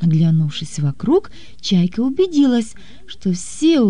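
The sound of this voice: An unforced reading voice carries the recording.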